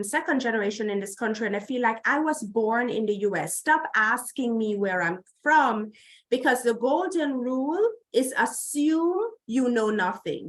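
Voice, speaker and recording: A woman speaks with a Jamaican accent. Her pitch is fairly high, with ordinary pitch variation. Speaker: healthcare diversity executive. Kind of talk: conference Q&A. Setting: remote video link to conference.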